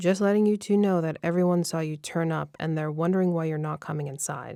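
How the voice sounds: In a put-on character voice, a woman rumbles at a fairly low pitch and a very fast pace, recorded very cleanly against a silent background.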